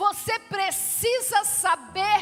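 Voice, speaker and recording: Over music in the background, a woman uses a raised, projected voice at an extremely high pitch. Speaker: pastor, church preacher. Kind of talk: sermon to a congregation. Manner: emphatic, preaching.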